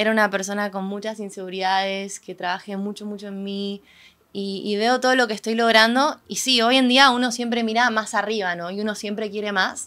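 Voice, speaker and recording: A woman's bright, sharp voice at a fairly quick pace, with fairly even intonation and big swings in loudness. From Argentina. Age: 20s. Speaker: singer-songwriter; guest. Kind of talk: casual interview. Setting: event venue. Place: studio. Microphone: studio mic.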